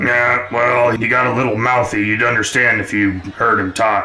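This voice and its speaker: In a raspy, put-on character voice of medium pitch, a man speaks at a moderate pace with monotone, flat intonation over clear background noise. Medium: actual play. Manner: blunt, dismissive.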